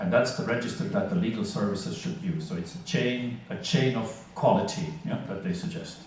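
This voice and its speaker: Pitched high, a man talks at a fairly quick pace with very wide pitch swings. Background noise is noticeable. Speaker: conference speaker on legal interpreting. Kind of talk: conference lecture.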